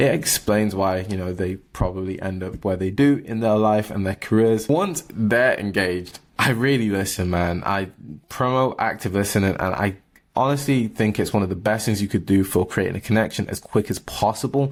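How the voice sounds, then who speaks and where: A man speaks fairly quickly with a British accent. His pitch varies in an ordinary way. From England. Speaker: barista and entrepreneur vlogger. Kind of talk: casual vlog monologue. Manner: high energy.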